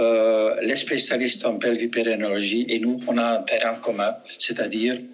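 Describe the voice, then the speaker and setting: A man's moderately paced speech carries over noticeable background noise. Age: 70s. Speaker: physiotherapist and trainer. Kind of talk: webinar presentation.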